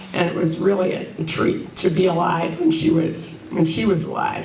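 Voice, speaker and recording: Noticeable background noise and audible room echo surround the speaker. A woman with a fairly low pitch talks with fairly even intonation. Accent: American. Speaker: resident speaking at public comment. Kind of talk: public comment at town hall. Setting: town hall meeting. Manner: halting.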